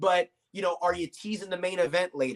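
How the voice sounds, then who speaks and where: A man with an American accent, a high pitch and a very fast pace, in a dry, close sound with no echo. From Virginia, Norfolk. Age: 30s. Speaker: wrestling commentator. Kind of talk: interview.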